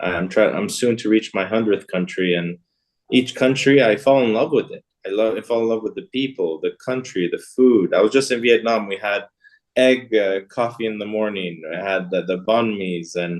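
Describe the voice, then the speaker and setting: Someone with an American accent and an unremarkable speaking voice talks at a moderate pace, with ordinary pitch variation. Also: man, fairly low pitch for a man. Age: 30s. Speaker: business executive. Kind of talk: interview.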